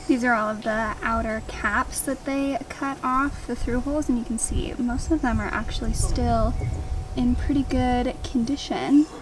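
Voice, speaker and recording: Over noticeable background noise in a dry recording with no echo, a woman talks at a fairly slow pace in a high pitch with fairly even intonation. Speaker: boat owner vlogger. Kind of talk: casual vlog chat. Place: open country. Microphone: phone near.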